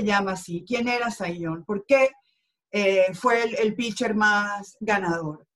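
A woman speaks very slowly with a Venezuelan accent. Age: 50s. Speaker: sports journalist. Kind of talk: interview.

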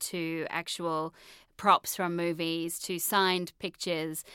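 In a very clean recording with a silent background, a woman with an Australian accent and a fairly low pitch speaks very slowly in a bright, sharp tone. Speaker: film journalist and author. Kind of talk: casual interview chat. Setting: studio.

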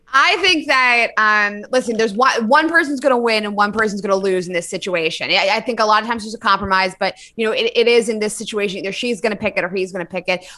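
A woman speaks in a bright, sharp, animated tone at a fairly high pitch, racing along very fast with hardly any pauses. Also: ordinary pitch variation. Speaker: podcast co-host. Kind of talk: casual chat, advice banter. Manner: animated, blunt.

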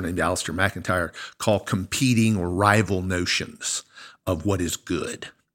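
In an ordinary speaking voice, a man talks at a moderate pace with fairly even intonation on a very clean recording with a silent background. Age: 50s. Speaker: college professor and podcast co-host. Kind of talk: casual conversation.

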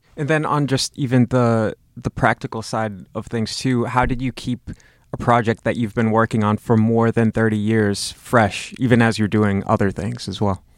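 This man has a normal speaking voice, medium pitch and fairly even intonation at a moderate pace, with a dry, close sound and no echo. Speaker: podcast host. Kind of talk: interview.

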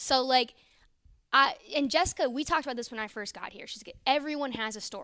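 A woman's raised, projected voice, high in pitch and bright and sharp in tone, with an American accent, ordinary pitch variation, a fairly quick pace and big swings in loudness. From Northern Virginia, DC area. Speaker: sports reporter, former college gymnast. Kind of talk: casual interview chat.

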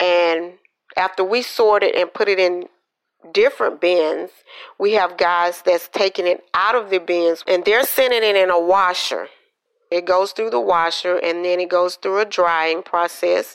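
A woman speaks with a Southern US accent at a fairly slow pace. Her loudness stays very even. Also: medium pitch for a woman, fairly even intonation. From Georgia, US South. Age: 50s. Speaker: healthcare laundry worker. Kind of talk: interview.

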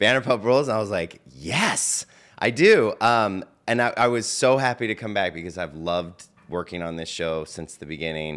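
With an ordinary speaking voice, a man talks at a moderate pace in a fairly low pitch, using lively intonation and big swings in loudness. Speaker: showrunner. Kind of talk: casual interview chat.

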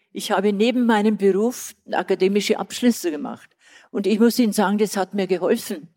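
Dark and mellow in tone, the voice moves at a fairly quick pace. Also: woman, medium pitch for a woman, fairly even intonation. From Old Bavaria, southern Germany. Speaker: retired tourism and festival director. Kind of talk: live on-stage interview. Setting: stage with live audience.

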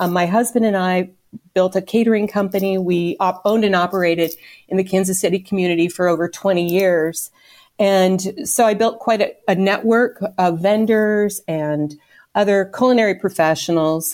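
A woman of medium pitch speaks in an unremarkable speaking voice. Her pace is moderate and her loudness very even. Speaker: volunteer fundraiser and home baker. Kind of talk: casual interview conversation.

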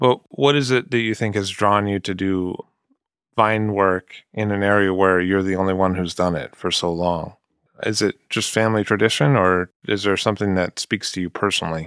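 At a moderate pace, the speaker uses an ordinary speaking voice with an American accent and keeps the intonation fairly even. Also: man, fairly low pitch for a man, very clean recording, silent background. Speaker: podcast host. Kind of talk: interview.

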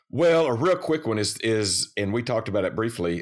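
Using an unremarkable speaking voice, a man talks at a medium pitch with lively intonation. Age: middle-aged. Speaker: podcast co-host. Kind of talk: casual chat. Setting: video call.

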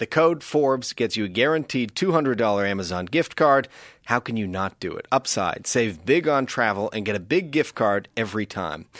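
Against a quiet background, a man speaks in a medium pitch at a moderate pace with lively intonation, in a dry, close sound with no echo. His is an unremarkable speaking voice. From Canada, Nova Scotia (Halifax). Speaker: podcast host. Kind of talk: read-out ad. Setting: studio.

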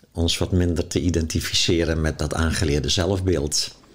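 The man's intonation stays fairly even while noticeable background noise plays behind him. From Zeeuws-Vlaanderen, Netherlands. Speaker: author and spiritual teacher. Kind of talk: in-depth interview. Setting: at his home.

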